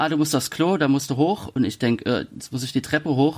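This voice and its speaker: A man's normal speaking voice at a medium pitch, with fairly even intonation. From Palatinate, Germany. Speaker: author. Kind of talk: interview. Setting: video call.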